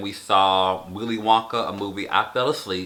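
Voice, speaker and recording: This man speaks at a fairly slow pace with a bright, sharp tone. His intonation stays fairly even. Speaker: vlogger. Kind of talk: casual vlog recap. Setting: sit-down video. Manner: off-the-cuff, many fillers.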